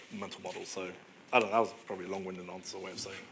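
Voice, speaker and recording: The man here talks at a very fast speed. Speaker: product analyst. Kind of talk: conference talk Q&A. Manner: halting.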